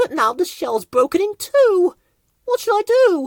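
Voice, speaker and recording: Squeaky and put-on, this character voice moves at a moderate pace. Its pitch swings very widely. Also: woman, extremely high pitch for a woman. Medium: read story.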